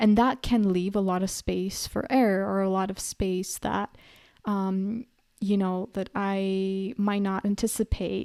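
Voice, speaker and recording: A woman with a southern European accent speaks at a fairly slow pace in a medium pitch, her tone dark and mellow and her intonation monotone and flat. The sound is dry and close with no echo, and the recording is very clean over a silent background. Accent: light southern European accent in English. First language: a southern European language. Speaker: podcaster. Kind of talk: personal reflection monologue. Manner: conversational with frequent fillers.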